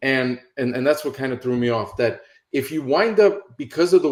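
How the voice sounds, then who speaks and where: With an American accent and a plain, everyday voice, a man speaks at a moderate pace, his medium pitch carried by lively intonation. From New York City. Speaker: real estate investing coach. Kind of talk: instructional talk on a call. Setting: online call.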